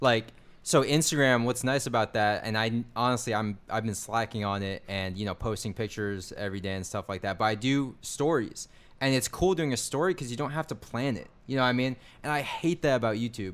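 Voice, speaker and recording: A man talks at a fairly quick pace with medium pitch and ordinary pitch variation. It is an ordinary speaking voice. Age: 20s. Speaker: affiliate marketer and YouTuber. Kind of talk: casual chat.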